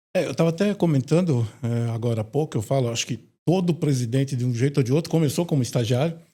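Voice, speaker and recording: A man's dark, mellow, somewhat breathy voice at a very fast pace, with ordinary pitch variation. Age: 60s. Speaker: retired company president. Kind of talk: interview.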